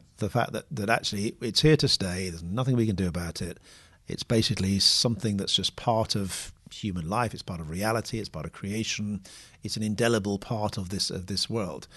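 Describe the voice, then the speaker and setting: A fairly low-pitched man with a British accent, fairly quick, with ordinary pitch variation and a quiet background. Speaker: podcast host, theologian. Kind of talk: casual discussion. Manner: soft-spoken, trying to speak up.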